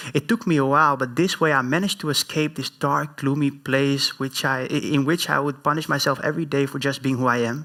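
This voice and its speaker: A man talks at a fairly quick pace. His fairly high voice has a bright, sharp tone. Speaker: public speaker. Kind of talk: inspirational talk.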